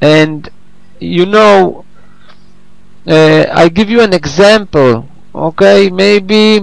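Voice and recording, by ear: Very slow and high for a man, his voice shows vocal fry and ordinary pitch variation.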